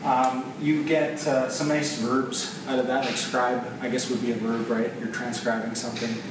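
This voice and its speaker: At a moderate pace with hardly any pauses, the speaker keeps fairly even intonation over audible room echo and noticeable background noise. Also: man, medium pitch for a man. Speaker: software developer. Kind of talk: casual video explainer. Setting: office of a client company. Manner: hesitant, many fillers.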